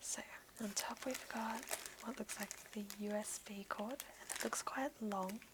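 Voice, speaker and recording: A woman whispers with an Australian accent at a fairly slow pace. Background noise is noticeable. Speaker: ASMR creator. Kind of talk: ASMR unboxing. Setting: home office, headset microphone. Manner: whispered, soft-spoken.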